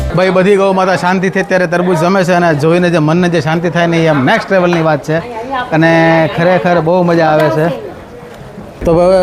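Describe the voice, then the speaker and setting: With crowd noise in the background and audible room echo, a man speaks at a high pitch in monotone, flat intonation. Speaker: family vlogger. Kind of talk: casual vlog narration. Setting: outdoors.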